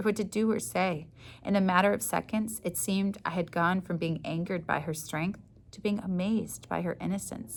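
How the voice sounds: Heard here: a natural reading voice.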